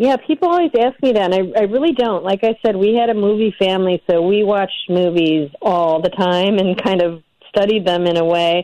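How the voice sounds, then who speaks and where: A woman with an American accent speaks at a moderate pace and medium pitch, with a dark, mellow tone and ordinary pitch variation. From Illinois, north of Chicago. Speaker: documentary director. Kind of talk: interview.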